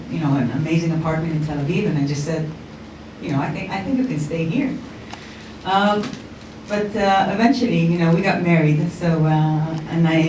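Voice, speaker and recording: A woman with an American accent talks at a fairly quick pace, her voice fairly low in pitch with ordinary variation. Long, frequent pauses break her speech, and audible room echo mixes with noticeable background noise. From Israel. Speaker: startup founder. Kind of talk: conference talk. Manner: hesitant, many fillers.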